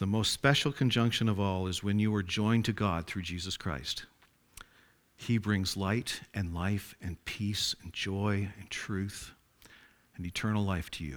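Here is a normal speaking voice with ordinary pitch variation. The pace is fairly slow. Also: man, fairly low pitch for a man. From Atlantic Canada, rural farming area. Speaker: lay preacher. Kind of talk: sermon. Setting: church.

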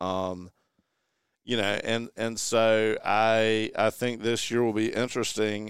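In a Southern US accent, a man with a fairly low pitch speaks at a very slow pace, on a very clean recording with a silent background and dry, close sound with no echo. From eastern North Carolina. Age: 40s. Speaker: golf guest. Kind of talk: casual chat.

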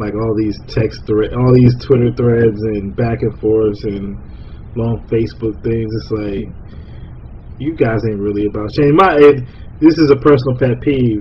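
At a fairly slow pace, a man speaks with a medium pitch and ordinary pitch variation amid noticeable background noise. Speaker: podcast host. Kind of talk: casual chat.

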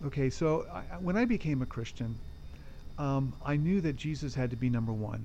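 Speaking with an American accent at a moderate pace, a man uses a fairly high pitch, a dark, mellow tone and lively intonation, with audible room echo around him. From California. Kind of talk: interview conversation. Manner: halting.

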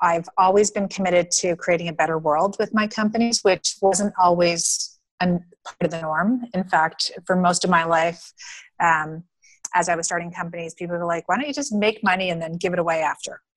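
With a normal speaking voice, a woman of fairly low pitch talks at a fairly quick pace with ordinary pitch variation. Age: 50s. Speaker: entrepreneur, founder of a women's funding network. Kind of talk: interview.

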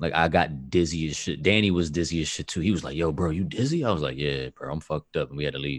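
A man talks at a very fast pace with hardly any pauses, his voice very deep and low with vocal fry. The recording is very clean, with a silent background. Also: ordinary pitch variation. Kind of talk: casual chat.

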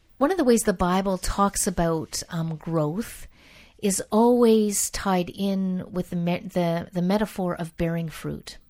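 This woman has a plain, everyday voice at a medium pitch, speaking at a fairly slow pace with ordinary pitch variation. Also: very clean recording, silent background. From Canada. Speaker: biblical scholar. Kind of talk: interview.

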